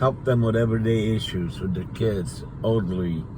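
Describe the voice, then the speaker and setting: Speech moves at a fairly slow pace. Noticeable background noise and audible room echo fill the recording. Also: man. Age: 60s. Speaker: community advocate vlogger. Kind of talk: casual vlog monologue. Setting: outdoors at a cemetery.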